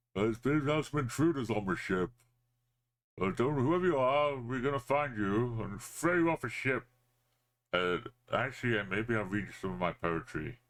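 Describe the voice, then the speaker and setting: Putting on a booming character voice at a medium pitch, a man speaks at a moderate pace with long, frequent pauses. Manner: menacing, blustering.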